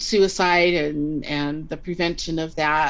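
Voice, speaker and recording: Speaking very slowly, a woman uses a very deep, low voice with vocal fry. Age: 60s. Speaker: life coach. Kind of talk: interview answer.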